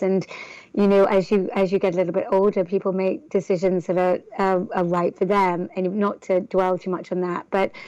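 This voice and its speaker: This woman has an English accent and a medium pitch. She talks at a moderate pace with monotone, flat intonation. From northern England. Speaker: entrepreneur. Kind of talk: interview. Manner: halting, many fillers.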